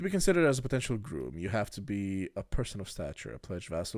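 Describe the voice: The recording consists of plain reading aloud.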